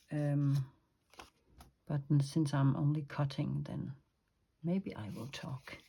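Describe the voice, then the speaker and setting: In a Danish accent, a woman speaks very slowly with long, frequent pauses, her very deep, low pitch and dark, mellow tone somewhat breathy. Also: ordinary pitch variation, big swings in loudness. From Denmark. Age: 50s. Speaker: crafter and illustrator. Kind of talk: craft tutorial. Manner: hesitant, many fillers.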